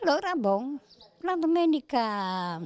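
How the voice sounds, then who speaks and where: A woman's high voice with very wide pitch swings, dry with no echo. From Friuli, Italy (Bicinicco); Friuli, Italy. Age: 80s+. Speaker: care home resident; interviewee. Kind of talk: interview, personal stories. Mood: cheerful, amused storytelling. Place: street. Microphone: handheld.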